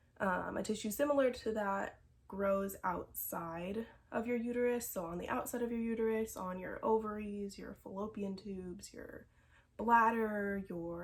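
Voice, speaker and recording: At a fairly slow pace, a woman speaks with a fairly high pitch, fairly even intonation and a somewhat breathy quality. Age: 20s. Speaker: vlogger sharing health experience. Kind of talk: personal vlog testimony. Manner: casual, with frequent fillers.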